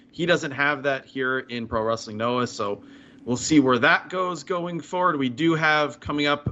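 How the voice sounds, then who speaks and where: Moving at a moderate pace, a man with an unremarkable speaking voice shows ordinary pitch variation. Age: 40s. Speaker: podcast co-host. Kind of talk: casual chat.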